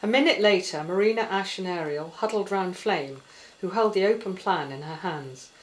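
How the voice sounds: In a room with audible echo, a woman talks at a moderate pace with a fairly low pitch and ordinary pitch variation.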